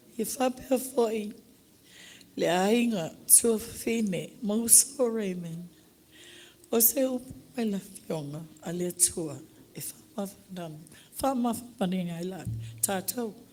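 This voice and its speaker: With a Samoan accent, a woman speaks at a fairly slow pace with long, frequent pauses, her medium-pitched voice somewhat breathy, dark and mellow, and her intonation lively. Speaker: widow giving eulogy. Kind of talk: testimony. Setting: church.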